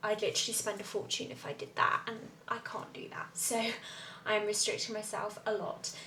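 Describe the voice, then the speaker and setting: Speaking at a fairly quick pace, a woman talks with a southern English accent. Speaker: lifestyle vlogger. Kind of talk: vlog to camera.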